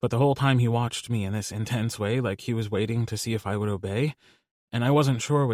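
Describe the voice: The clip is plain reading aloud. Nothing much is heard behind it.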